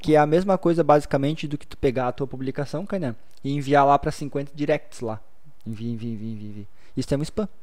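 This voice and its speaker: A man with a normal speaking voice talks at a fairly quick pace and fairly high pitch, with ordinary pitch variation and big swings in loudness. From Blumenau, southern Brazil. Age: 30s. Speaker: social media content creator. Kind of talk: podcast interview.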